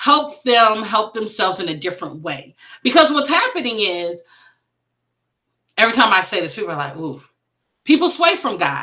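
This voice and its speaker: A loud, animated woman with an American accent speaks at a moderate pace in a medium pitch, her voice swinging very widely up and down. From Wisconsin, US Midwest. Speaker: grief coach and author. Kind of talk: interview conversation.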